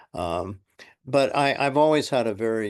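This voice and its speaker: A man with a Californian accent speaks against a quiet background. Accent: General American (Californian). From San Francisco, US West Coast. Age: 70s. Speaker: retired school psychologist. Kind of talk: oral history interview. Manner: halting, many fillers.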